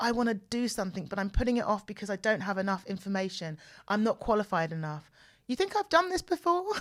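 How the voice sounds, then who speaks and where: Lively intonation and a very fast pace mark this speaker with a southern English accent, recorded very cleanly against a silent background. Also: woman, medium pitch for a woman. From southern England, home counties outside London. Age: 40s. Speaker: podcast host. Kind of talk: casual personal monologue. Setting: studio. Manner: chatty, repeats herself.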